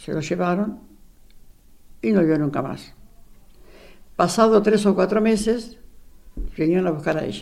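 A woman at a fairly slow pace, with long, frequent pauses, ordinary pitch variation and audible room echo. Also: medium pitch for a woman. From Argentina, Buenos Aires. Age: 80s+. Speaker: retired secretary, eyewitness. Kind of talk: personal testimony interview.

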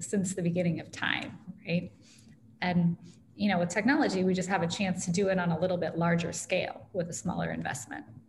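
Fairly low in pitch and somewhat breathy, a woman talks with an American accent. Her pace is fairly quick. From US Midwest, Iowa (Ames). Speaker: tech company founder and author. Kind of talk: interview conversation.

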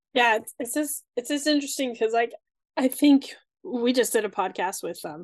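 A woman talks at a moderate pace, the sound dry and close with no echo and the background quiet. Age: 30s. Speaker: podcast host. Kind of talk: interview.

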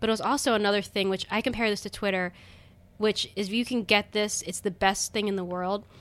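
A woman with an American accent has an unremarkable speaking voice, a medium pitch and fairly even intonation at a fairly quick pace. The recording is very clean, with a silent background. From Baltimore County, Maryland. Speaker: comedian and designer. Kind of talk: casual interview chat.

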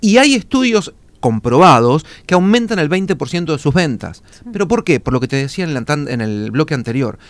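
Talking at a moderate pace, a man uses a fairly high pitch with very wide pitch swings. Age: 40s. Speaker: public relations consultant. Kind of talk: radio interview.

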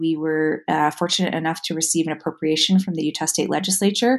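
A woman with a normal speaking voice, fairly quick pace and ordinary pitch variation against a quiet background. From New York City (Manhattan). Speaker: historian and author. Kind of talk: interview.

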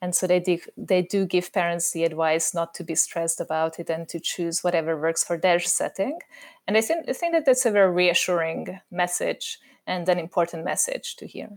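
A woman with a Hungarian accent speaks at a moderate pace and a fairly low pitch, on a very clean recording with a silent background. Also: fairly even intonation. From Hungary. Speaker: educational consultant and parent. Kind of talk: panel discussion.

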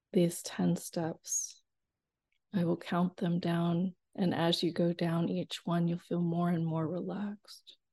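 The voice is somewhat breathy with a dark, mellow, soothing tone, flat monotone intonation and a very slow pace. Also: woman, fairly low pitch for a woman. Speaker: hypnotherapist. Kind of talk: guided hypnosis induction, countdown and affirmations. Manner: slow, soothing, hypnotic cadence.

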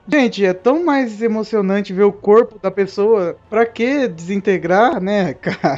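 Fairly slow speech with hardly any pauses, set against music in the background. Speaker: podcast host. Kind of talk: casual chat.

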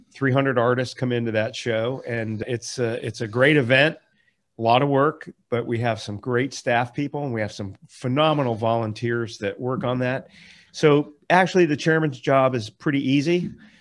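A man with an American accent speaks in a plain, everyday voice at a moderate pace, medium in pitch with ordinary variation, on a very clean recording with a silent background. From Florida. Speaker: landscape architect. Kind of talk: casual chat.

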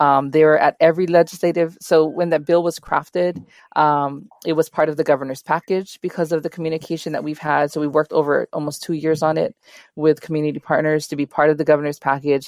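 Delivered very fast in a monotone, flat way with a Hawaiian accent, the speech sits over a quiet background. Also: woman, very deep, low pitch for a woman, dry, close sound with no echo. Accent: Hawaii English. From Hawaii (Kalihi, Honolulu). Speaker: nonprofit advocate. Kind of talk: interview.

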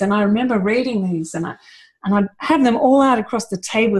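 This somewhat breathy voice has ordinary pitch variation and an Australian accent. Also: woman. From Australia (Victoria suburbs). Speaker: permaculture teacher and designer. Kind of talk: casual chat. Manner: fast.

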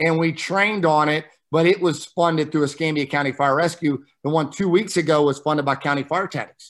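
With an unremarkable speaking voice, a man with an American accent talks at a fairly quick pace in a fairly high pitch, his intonation fairly even and hardly any pauses, on a very clean recording with a silent background. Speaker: fire service training officer. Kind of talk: casual interview.

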